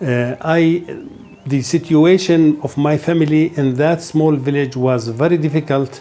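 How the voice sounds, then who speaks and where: A man's fairly high voice at a fairly slow pace, with music in the background. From Palestine, West Bank (Hebron area). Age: 60s. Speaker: Palestinian refugee interviewee. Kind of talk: personal testimony interview. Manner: halting, with hesitations and repetitions.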